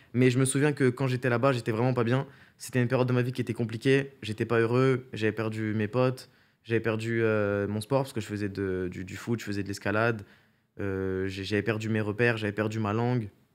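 A man's speech moves at a fairly quick pace, its intonation fairly even. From Paris region, France; France. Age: 20s. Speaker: streamer and content creator; streamer, content creator. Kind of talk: casual interview. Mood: calm, reflective. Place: studio. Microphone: studio mic.

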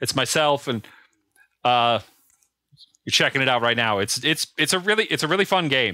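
A bright, sharp tone with very wide pitch swings, a moderate pace and long, frequent pauses. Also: man, medium pitch for a man. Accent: American. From Minnesota. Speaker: electronic music producer. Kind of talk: casual chat.

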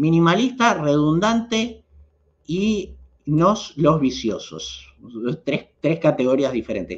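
Speaking at a very slow pace, a man uses a fairly high pitch that swings very widely. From Argentina. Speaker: YouTube host, knife and EDC enthusiast; channel host. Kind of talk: livestream chat reading viewer comments. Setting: live stream. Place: home room. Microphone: webcam.

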